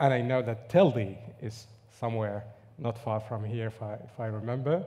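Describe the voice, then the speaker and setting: The voice has a dark, mellow tone and ordinary pitch variation at a fairly slow pace. Audible room echo is present. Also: man. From Morocco, near Agadir. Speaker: linguist. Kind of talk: conference talk. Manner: hesitant, many fillers.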